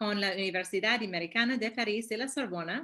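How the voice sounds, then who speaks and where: A woman speaks at a medium pitch. Her pace is moderate and her pitch varies in an ordinary way. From US, New York. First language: English (speaking Spanish). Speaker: human rights statistician. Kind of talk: webinar presentation. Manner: halting.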